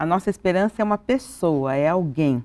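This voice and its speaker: A woman speaks at a moderate pace with lively intonation and a dark, mellow tone. The sound is dry and close, without echo. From Brazil. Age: 60s. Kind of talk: TV interview. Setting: TV studio, live.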